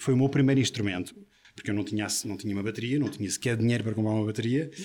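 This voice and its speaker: A man's intonation stays fairly even as he talks at a very fast pace. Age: 40s. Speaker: drummer. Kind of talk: interview.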